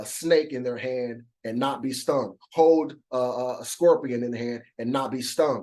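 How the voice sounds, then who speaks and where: His tone dark and mellow, a man talks with fairly even intonation. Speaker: bible study teacher. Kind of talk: bible study lesson. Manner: fast; halting, repeats words.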